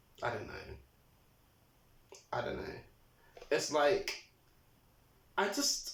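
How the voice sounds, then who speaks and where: Audible room echo surrounds a man speaking at a very slow pace. He takes long, frequent pauses. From England. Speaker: vlogger. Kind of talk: casual monologue. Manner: animated.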